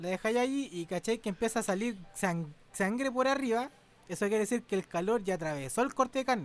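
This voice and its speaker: With a Chilean accent, a man talks at a fairly quick pace in a high, animated voice with lively intonation. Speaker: podcast host. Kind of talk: casual chat.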